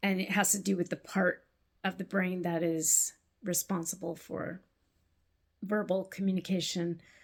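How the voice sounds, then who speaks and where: Somewhat breathy and monotone, a woman speaks with flat intonation at a medium pitch. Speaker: knitting vlogger. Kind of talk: casual vlog talk. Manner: halting, word-finding pauses.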